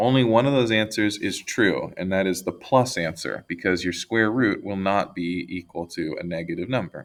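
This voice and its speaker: In a very clean recording with a silent background, a man speaks in a fairly low voice with ordinary pitch variation and hardly any pauses. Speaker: math teacher. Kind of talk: tutorial. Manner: fast.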